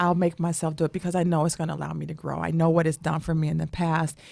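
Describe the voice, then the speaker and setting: Delivered at a very fast pace, the speech has a dark, mellow tone and flat, monotone intonation. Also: woman. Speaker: radio co-host and business owner. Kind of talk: candid interview.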